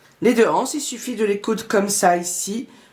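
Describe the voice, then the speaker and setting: A woman speaks very slowly while noticeable background noise continues. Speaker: sewing youtuber. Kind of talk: tutorial.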